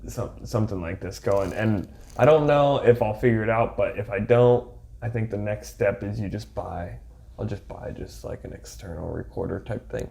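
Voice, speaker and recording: A man at a moderate pace, with big swings in loudness over noticeable background noise. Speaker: podcast host. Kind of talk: casual chat. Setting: home recording setup. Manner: talking quieter than usual.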